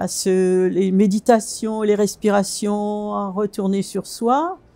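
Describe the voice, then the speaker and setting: This voice belongs to a woman. She speaks at a medium pitch. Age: 70s. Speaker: fasting retreat participant. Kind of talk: testimony. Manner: halting, frequent hesitations.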